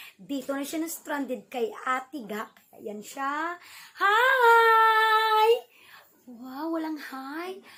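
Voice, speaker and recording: Her voice rising and falling in very wide pitch swings, a woman speaks. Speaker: vlogger. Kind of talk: casual vlog. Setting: at home indoors. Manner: soft-spoken.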